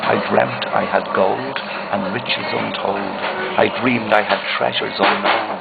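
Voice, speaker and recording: A man speaks in a Dublin accent at a moderate pace. Music can be heard in the background. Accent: Dublin Irish. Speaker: poet. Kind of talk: poetry reading.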